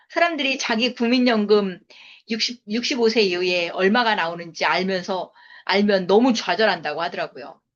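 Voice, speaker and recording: A woman with an ordinary speaking voice talks at medium pitch and a moderate pace, with lively intonation. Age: 50s. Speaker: network marketing business lecturer. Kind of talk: sales seminar lecture.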